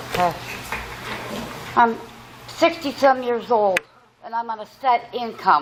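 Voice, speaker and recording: Over noticeable background noise, a woman with a fairly high pitch and lively intonation speaks at a fairly slow pace, leaving long, frequent pauses. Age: 60s. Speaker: resident speaking at public hearing. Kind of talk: public hearing comment. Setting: public hearing room.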